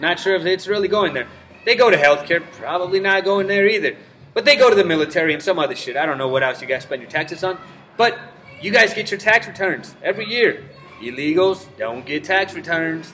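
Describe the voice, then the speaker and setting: A man's high, raised, projected voice at a fairly quick pace, lively intonation and big swings in loudness, with noticeable background noise. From Mexico. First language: Spanish. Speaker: vlogger. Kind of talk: casual rant to camera. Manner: casual, profane.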